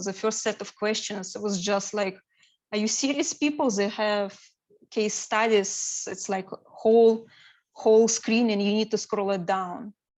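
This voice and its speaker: A woman with a non-native accent speaks at a fairly slow pace. Her pitch is fairly high and her intonation fairly even. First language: not English. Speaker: certified business analyst sharing exam experience. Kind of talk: presentation to study group. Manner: hesitant, many fillers.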